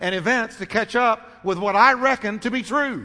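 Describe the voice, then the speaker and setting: In a raised, projected voice, a man speaks with ordinary pitch variation. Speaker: pastor. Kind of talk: sermon; call-and-response preaching, prompting congregation to say amen. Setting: church. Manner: rhetorical questions answered in quick succession, teaching cadence; repetitive, emphatic, with light humor.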